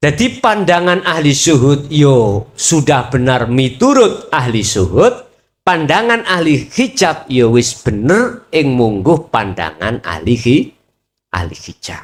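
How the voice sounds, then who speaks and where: Speaking very slowly with a Javanese accent, a man uses a fairly high voice with vocal fry and very wide pitch swings. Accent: Javanese-accented Indonesian. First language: Javanese (speaking Indonesian). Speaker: Islamic preacher. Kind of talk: religious lecture. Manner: casual, code-switching Javanese and Indonesian.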